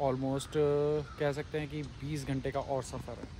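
A man talks at a fairly slow pace in a dry sound with no echo, over noticeable background noise. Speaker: travel vlogger. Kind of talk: casual vlog chat. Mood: nostalgic, content. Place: open country. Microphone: phone near.

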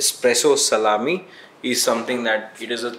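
The recording carries audible room echo and light background noise. A man speaks at a moderate pace. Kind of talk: tutorial. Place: cafe. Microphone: camera far.

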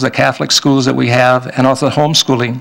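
In a Minnesota accent, a man speaks at a fairly high pitch with monotone, flat intonation against a quiet background. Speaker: state legislator; candidate. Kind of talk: candidate debate. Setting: public event with audience. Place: meeting room. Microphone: podium.

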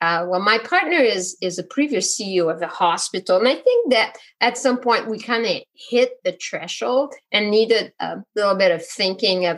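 A woman speaks at a moderate pace with a Quebec accent, her pitch fairly high. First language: French. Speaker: physician and coach. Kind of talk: interview. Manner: hesitant, many fillers.

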